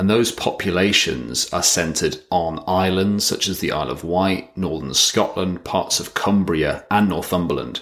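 A man speaks with a very deep, low pitch and vocal fry. His pitch varies in an ordinary way. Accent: British. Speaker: podcast host. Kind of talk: solo monologue podcast.

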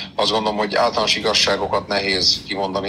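A man talks with a very deep, low pitch. Noticeable background noise runs under his voice. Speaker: sports newspaper editor-in-chief. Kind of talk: interview. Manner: hesitant fillers, repeated words.

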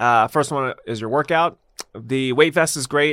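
A man talks with an ordinary speaking voice, ordinary pitch variation and a moderate pace, recorded very cleanly against silence. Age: 30s. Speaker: fitness and nutrition coach. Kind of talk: casual interview.

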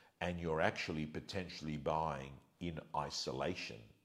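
A man with an Australian accent at a fairly slow pace, his voice carrying vocal fry. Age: 50s. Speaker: real estate agent and livestream host. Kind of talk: livestream rant to viewers. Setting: at home.

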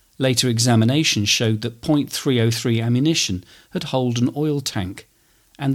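In a very clean recording with a silent background, a man talks at a moderate pace with a medium pitch, ordinary pitch variation and an unremarkable speaking voice. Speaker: history podcaster and war graves volunteer speaker. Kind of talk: history documentary narration, scripted and read. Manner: measured, formal, solemn.

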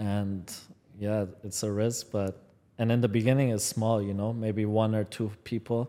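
A man speaks in a dark, mellow tone at a fairly low pitch. His intonation is monotone and flat, and his pace is fairly slow. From Guelph, Ontario, Canada (born in Iran, moved at six). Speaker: football content creator and trainer. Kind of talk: casual chat.

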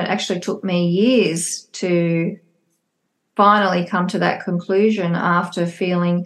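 A woman speaks with an Australian accent. Her intonation stays fairly even. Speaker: psychologist and divorce coach. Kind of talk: casual interview chat.

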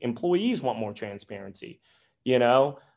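A medium-pitched man's voice against a quiet background. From US Midwest, Springfield, Missouri. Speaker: compensation expert. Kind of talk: podcast interview. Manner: hesitant, many fillers and repetitions.

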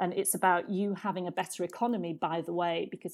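The speaker has a British accent and a dark, mellow tone at a moderate pace. The recording is very clean, with a silent background. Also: woman. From Britain. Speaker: diplomat. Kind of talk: interview conversation.

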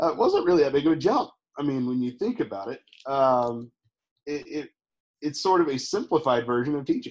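A man with a Texan accent, very wide pitch swings, and a moderate pace. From Texas, Houston. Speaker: former teacher, tour business owner. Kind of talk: interview.

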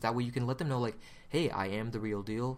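The voice has an animated, upbeat tone with ordinary pitch variation. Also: man. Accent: American. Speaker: podcast host and photo booth company rep. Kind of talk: casual conference recap chat. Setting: at a conference in Las Vegas.

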